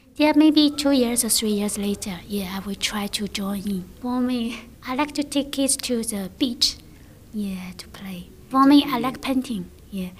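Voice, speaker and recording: Speaking fairly slowly with a Chinese accent, a woman uses a high voice with ordinary pitch variation. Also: big swings in loudness. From China. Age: 30s. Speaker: English student, former teacher. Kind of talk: interview. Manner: halting.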